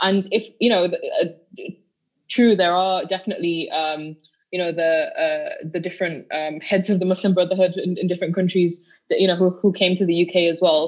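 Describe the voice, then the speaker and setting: A woman speaks at a moderate pace. Her pitch is medium and her intonation fairly even. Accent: West Yorkshire. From northern England, Bradford. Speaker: activist. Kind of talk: podcast interview. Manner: halting, many repeated words.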